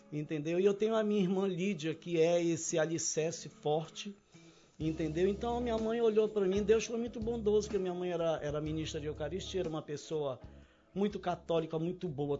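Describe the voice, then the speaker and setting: A man talks at a fairly quick pace in a high voice, with music playing in the background. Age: 60s. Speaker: cooking instructor. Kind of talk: casual chat.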